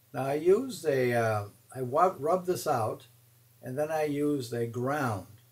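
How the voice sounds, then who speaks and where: A man's voice sits at medium pitch and is somewhat breathy. He speaks at a fairly slow pace. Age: 70s. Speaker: watercolor teacher. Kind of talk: tutorial. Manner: halting, many fillers.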